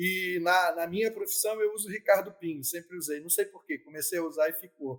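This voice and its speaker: This man's voice is high-pitched, with ordinary pitch variation and big swings in loudness. He goes at a fairly quick pace with hardly any pauses. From Brazil, Niterói (Rio de Janeiro state). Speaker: lawyer and debut novelist. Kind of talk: interview.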